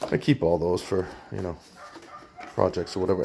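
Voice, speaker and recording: A man speaks with a New England accent. He keeps a moderate pace. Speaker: electronics scrapper, video maker. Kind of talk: hands-on tutorial. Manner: casual, halting with restarts.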